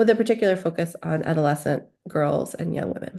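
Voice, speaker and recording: With an American accent, a woman speaks at a fairly quick pace in a fairly low pitch, her dark, mellow tone showing ordinary pitch variation. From US Northeast, New York City. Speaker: epidemiologist. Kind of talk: lecture.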